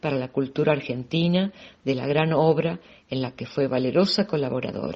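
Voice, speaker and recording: A woman with a normal speaking voice talks at a moderate pace, her pitch varying in an ordinary way. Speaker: audiobook reader. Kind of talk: audiobook reading.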